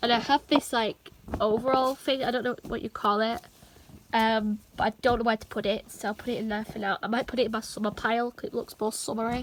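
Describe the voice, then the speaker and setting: Against noticeable background noise, a woman speaks very fast in a fairly high, monotone voice with flat intonation. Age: young. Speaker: vlogger. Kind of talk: casual talk to camera.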